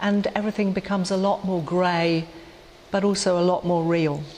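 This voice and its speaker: Over light background noise, a woman speaks at a fairly low pitch in a monotone, flat intonation. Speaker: clergy lecturer. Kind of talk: lecture. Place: church.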